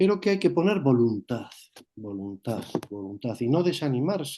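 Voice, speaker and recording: A man speaks with very wide pitch swings. His tone is dark and mellow. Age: 60s. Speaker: moderator of a spiritual talk session. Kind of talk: moderated Q&A session.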